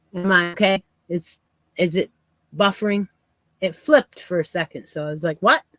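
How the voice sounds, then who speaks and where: A woman's medium-pitched voice at a moderate pace, with ordinary pitch variation, long and frequent pauses, dry close sound with no echo, and music in the background. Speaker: crochet youtuber. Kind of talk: casual live yarn chat. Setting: livestream. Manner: soft-spoken.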